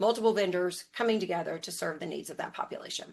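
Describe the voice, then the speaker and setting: Medium-pitched and using a plain, everyday voice, a woman talks at a fairly quick pace with fairly even intonation. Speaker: health plan implementation lead. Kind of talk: webinar presentation.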